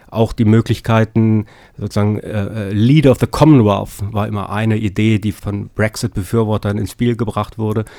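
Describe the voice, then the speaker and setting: The speech runs at a moderate pace with fairly even intonation, recorded dry and close with no echo on a very clean, silent background. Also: man, fairly low pitch for a man. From Lower Saxony, Germany. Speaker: political science professor. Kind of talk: interview. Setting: studio. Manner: hesitant with fillers.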